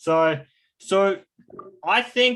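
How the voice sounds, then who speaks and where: An Australian accent with ordinary pitch variation. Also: man. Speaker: stroke recovery coach. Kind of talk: online class.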